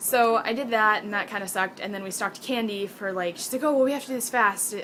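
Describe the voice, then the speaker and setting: A woman talking very fast with ordinary pitch variation amid noticeable background noise. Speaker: college student vlogger. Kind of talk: casual video diary. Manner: animated.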